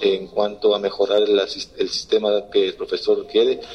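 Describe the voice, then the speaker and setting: A man talks over noticeable noise in the background. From Ecuador. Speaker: assistant football coach. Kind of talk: press conference. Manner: halting.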